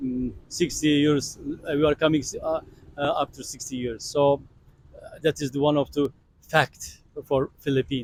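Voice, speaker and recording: A man with a Turkish accent, fairly high-pitched and monotone, at a moderate pace, with big swings in loudness and long, frequent pauses, in a dry, close sound with no echo. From Turkey. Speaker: tourist interviewee. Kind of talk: street interview. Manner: halting.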